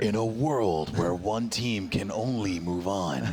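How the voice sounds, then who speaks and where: Putting on a character voice at a fairly low pitch, a man talks at a fairly slow pace over loud background noise. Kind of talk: cinematic announcer delivery. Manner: slow, dramatic.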